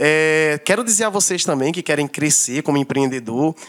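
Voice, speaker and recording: An ordinary speaking voice moves along at a moderate pace. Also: man. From Brazil, Northeast (Paraíba). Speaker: barber and entrepreneur. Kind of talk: casual chat.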